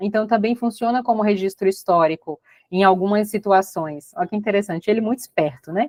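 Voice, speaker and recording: Speaking at a fairly quick pace, a woman uses a medium pitch and ordinary pitch variation, recorded with a dry, close sound and no echo. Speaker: astrology and tarot teacher. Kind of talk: online workshop lecture. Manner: fast.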